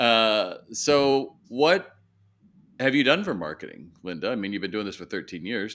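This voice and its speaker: On a very clean recording with a silent background, a man speaks at medium pitch and a moderate pace. His pitch swings very widely. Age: 60s. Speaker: retail consultant. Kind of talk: coaching session. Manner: direct.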